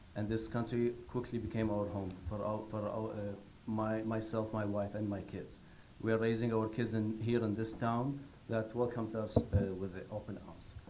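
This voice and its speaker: Audible room echo surrounds a man speaking in a fairly low pitch with monotone, flat intonation. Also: moderate pace. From Iraq. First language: not English. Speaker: public commenter at school board meeting. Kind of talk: public comment. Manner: halting.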